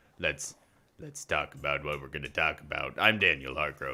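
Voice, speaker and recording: Using a put-on character voice, a man speaks at a moderate pace in a croaky, very deep, low pitch. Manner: sustained put-on voice.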